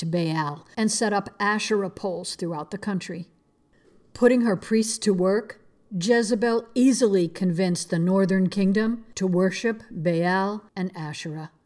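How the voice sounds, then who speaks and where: Over a quiet background, a woman speaks in a solemn, dramatic tone at a moderate pace, her medium pitch showing ordinary variation. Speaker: Bible teacher podcast host. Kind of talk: dramatic storytelling narration of a Bible account, solemn and vivid; devotional Bible teaching. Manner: solemn, earnest, dramatic and intense in the retelling.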